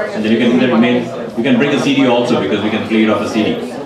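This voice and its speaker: With audible room echo and noticeable background noise, a man talks with ordinary pitch variation. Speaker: event host. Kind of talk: announcement to audience. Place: stage. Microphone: handheld.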